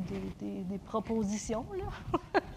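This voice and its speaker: A woman's voice with noticeable background noise. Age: 30s. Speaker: preacher. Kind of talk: sermon.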